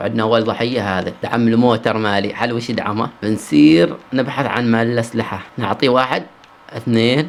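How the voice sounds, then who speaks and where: A man at a medium pitch and moderate pace, with ordinary pitch variation and hardly any pauses, over noticeable background noise. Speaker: gaming streamer. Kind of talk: gameplay commentary. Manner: animated.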